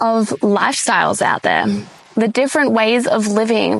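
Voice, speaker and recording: A fairly slow pace of speech over noticeable background noise. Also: woman. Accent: Australian. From Australia. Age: 20s. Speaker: podcast host. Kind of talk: casual monologue. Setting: sitting in a hammock.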